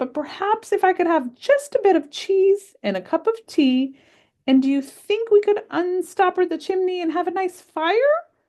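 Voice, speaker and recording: Putting on a character voice, a woman speaks at a moderate pace, squeaky and extremely high in pitch. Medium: read story. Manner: polite, genteel.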